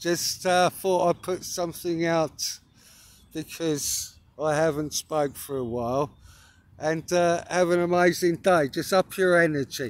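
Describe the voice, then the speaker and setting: A man's high voice with an English accent, fairly even intonation and a fairly slow pace, dry with no echo. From England. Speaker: spiritual vlogger. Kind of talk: casual monologue. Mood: earnest, emphatic. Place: open country. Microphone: phone near.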